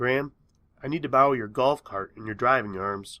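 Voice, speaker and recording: A man uses a raspy, put-on character voice at medium pitch, speaking at a fairly quick pace with ordinary pitch variation. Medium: read story.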